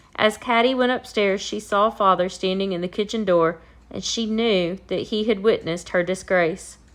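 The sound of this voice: The clip carries an unforced reading voice.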